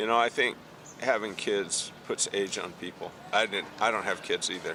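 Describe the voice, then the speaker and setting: Noticeable background noise fills the recording. Through it, a man speaks at a moderate speed. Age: 70s. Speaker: documentary interviewer. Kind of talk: interview.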